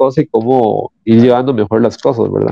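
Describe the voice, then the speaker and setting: The man speaks at a medium pitch. His pace is moderate. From Costa Rica, San Rafael. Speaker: comic book artist. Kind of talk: interview. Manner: halting, repeats words.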